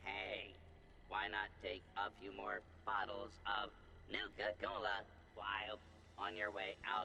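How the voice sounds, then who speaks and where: Using a put-on character voice, a man talks at a fairly slow pace with long, frequent pauses as clear background noise runs behind him. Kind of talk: cowboy western role-play. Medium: video game. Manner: upbeat, salesman-like.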